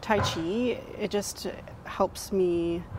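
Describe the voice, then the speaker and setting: A woman with fairly even intonation over light background noise. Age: young. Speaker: tai chi practitioner. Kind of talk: interview answer. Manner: casual, hesitant. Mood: calm, grateful, warm. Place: garden. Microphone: lapel.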